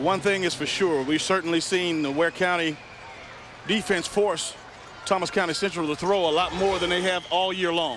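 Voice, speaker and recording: A man's high voice in an American accent, with fairly even intonation at a moderate pace, amid noticeable background noise. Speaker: color commentator. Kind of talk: live sports commentary.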